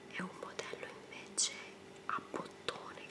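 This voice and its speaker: Whispering comes at a very slow pace. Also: woman. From Italy. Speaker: ASMR creator. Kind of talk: casual talk to camera, show and tell. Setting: indoor home recording. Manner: whispered, soft-spoken. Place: home room. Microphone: webcam.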